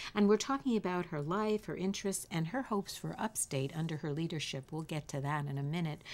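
A woman with an American accent has a fairly low pitch and an ordinary speaking voice. She speaks at a fairly quick pace with lively intonation and hardly any pauses. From Queens, New York. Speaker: radio host. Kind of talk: radio interview. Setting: studio.

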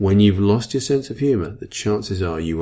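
This man talks at a moderate pace in a fairly low, somewhat breathy voice with a dark, mellow tone and lively intonation. The recording is very clean, with a silent background. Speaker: self-help podcast host. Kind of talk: motivational talk. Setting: podcast recording. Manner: varies speed and pitch for effect.

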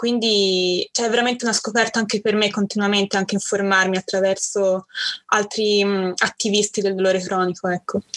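Recorded dry and close with no echo, a woman of medium pitch speaks fairly quickly in a monotone, flat intonation at very even loudness. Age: 20s. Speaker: university student sharing chronic illness story. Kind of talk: interview testimony.

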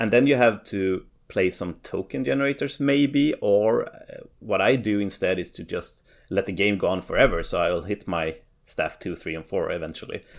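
Speaking with a Swedish accent, a man keeps a moderate pace. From Sweden. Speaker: competitive card game player. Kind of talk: casual chat.

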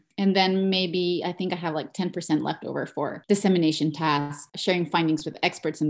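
In a Spanish accent, a woman speaks at a fairly quick pace and fairly low pitch with fairly even intonation, in a very clean recording with a silent background. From Mexico. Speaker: education researcher. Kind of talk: interview.

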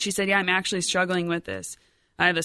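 In an American accent, the speaker talks very fast with a bright, sharp tone and vocal fry over a quiet background. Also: woman. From US Midwest, Rockford, Illinois. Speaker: lay missionary, event coordinator. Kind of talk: personal testimony interview.

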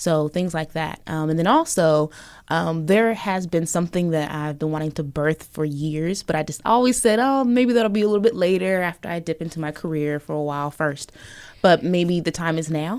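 Speaking with an American accent at a moderate pace, a woman with a plain, everyday voice and a fairly low pitch shows ordinary pitch variation on a very clean recording with a silent background. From US Pacific Northwest, Portland, Oregon. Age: young. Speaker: radio producer and documentary filmmaker. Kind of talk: interview. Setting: studio.

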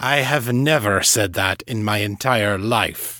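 A man's put-on character voice, growling and stern, medium in pitch, at a fairly slow pace. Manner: cold, stern.

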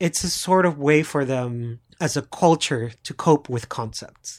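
A man with a Puerto Rican accent, fairly high in pitch with ordinary variation, at a very slow pace on a very clean recording with a silent background. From Puerto Rico. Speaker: podcast co-host. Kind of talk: casual chat.

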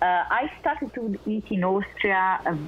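Noticeable background noise behind a woman with an Italian accent and ordinary pitch variation. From Italy, Naples. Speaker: research scientist. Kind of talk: interview. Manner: halting; passionate.

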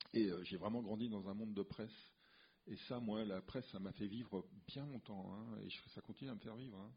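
With long, frequent pauses but a moderate pace overall, a man speaks at a fairly low pitch and with fairly even intonation. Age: 60s. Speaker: comic book artist. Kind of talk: casual interview. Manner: halting, repeats words.

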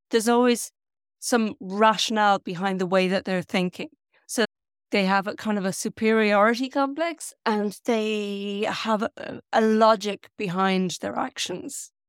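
In an Irish accent, a woman with a fairly high pitch and ordinary pitch variation speaks at a fairly slow pace, her sound dry and close with no echo. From Ireland. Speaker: novelist. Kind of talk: interview. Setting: video call.

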